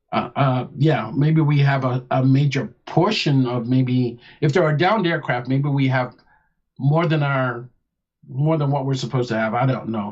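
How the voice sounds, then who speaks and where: Somewhat breathy man's voice at medium pitch, moderate in pace, with ordinary pitch variation. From England, Nottingham. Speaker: former military officer. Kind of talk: radio interview.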